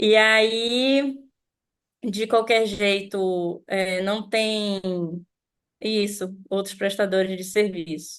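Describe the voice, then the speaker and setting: A woman speaks very slowly at a medium pitch with fairly even intonation, leaving long, frequent pauses against a quiet background. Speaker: freelance event technician. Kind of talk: online group discussion. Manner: halting.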